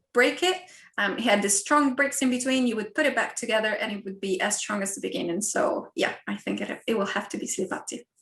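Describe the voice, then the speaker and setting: A woman with an Italian accent and a fairly high pitch, against a quiet background. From Italy. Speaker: university lecturer. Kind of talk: online talk and Q&A.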